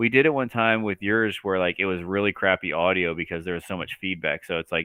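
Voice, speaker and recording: Mumbling very fast, a man with a very deep, low pitch shows ordinary pitch variation. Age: 30s. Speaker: transmission builder and racer. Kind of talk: casual chat.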